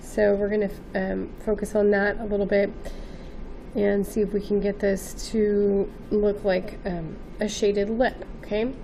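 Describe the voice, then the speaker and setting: Audible room echo surrounds a woman speaking at a medium pitch. She talks at a fairly slow pace in monotone, flat intonation. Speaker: art teacher. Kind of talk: tutorial. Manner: hesitant, with many fillers.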